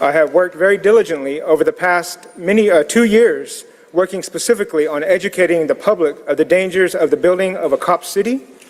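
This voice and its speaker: A man with an American accent talks at a very fast clip in a high voice, with hardly any pauses. His pitch varies in an ordinary way, and there is noticeable background noise. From US Southeast, Muscogee community. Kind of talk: public comment at city council. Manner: formal, solemn.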